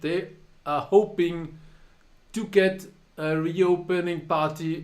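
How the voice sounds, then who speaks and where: A man with a German accent speaks amid audible room echo. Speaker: poker tournament director and live streamer. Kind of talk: casual live stream monologue. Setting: live stream.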